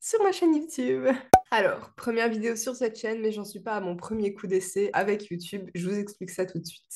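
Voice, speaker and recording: Lively in intonation, a woman talks at a fairly high pitch. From Belgium. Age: 20s. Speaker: vlogger, virtual assistant. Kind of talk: casual vlog introduction. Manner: hesitant, frequent fillers.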